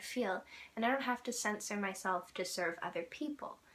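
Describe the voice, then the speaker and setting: Bright, sharp-toned woman with ordinary pitch variation. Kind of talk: casual talk to camera.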